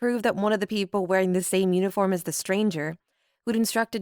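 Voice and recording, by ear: The background stays quiet while someone is reading aloud in a natural voice, the intonation fairly even.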